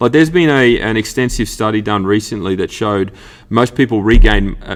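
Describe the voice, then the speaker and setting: Talking at a fairly quick pace, a man with an Australian accent has a fairly low pitch. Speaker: fitness coach and podcast host. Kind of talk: solo podcast monologue. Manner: animated, passionate; halting, stumbling over words.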